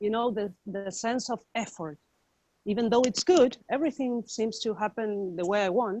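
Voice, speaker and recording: A woman with a non-native accent has a dark, mellow tone at a fairly high pitch. She speaks at a moderate pace with ordinary pitch variation. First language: not English. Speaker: participant in a spiritual discussion group. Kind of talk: casual chat. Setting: video call. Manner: halting.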